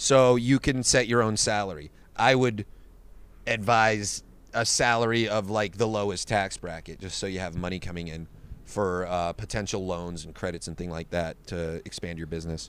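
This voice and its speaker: With an ordinary speaking voice, a man talks at a moderate pace and fairly low pitch, showing ordinary pitch variation and big swings in loudness. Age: 20s. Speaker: MMA fighter and comedian. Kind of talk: casual chat.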